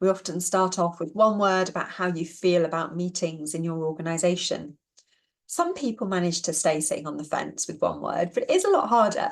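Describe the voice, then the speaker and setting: A woman with a fairly low pitch talks at a fairly quick pace. Her intonation is fairly even. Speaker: productivity trainer. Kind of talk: webinar presentation. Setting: online webinar. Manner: fast.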